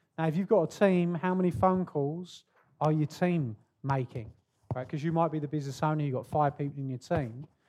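A man with a British accent and a dark, mellow tone speaks at a fairly quick pace and a fairly high pitch, with ordinary pitch variation. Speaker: podcast host. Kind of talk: podcast interview. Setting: stage with audience.

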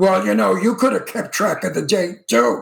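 Putting on a raspy character voice, a man speaks at a moderate pace with a high pitch. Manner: evil.

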